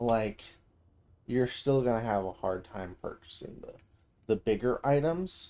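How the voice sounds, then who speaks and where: A man's medium-pitched, dark, mellow voice at a fairly slow pace, lively in intonation, with big swings in loudness and long, frequent pauses. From US South. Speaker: video game streamer. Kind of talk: gameplay commentary. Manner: casual, conversational.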